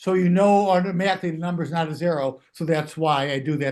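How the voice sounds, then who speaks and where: A man speaks at a fairly quick pace with a fairly high pitch. His pitch varies in an ordinary way. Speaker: mental math teacher and trader. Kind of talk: interview. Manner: fast.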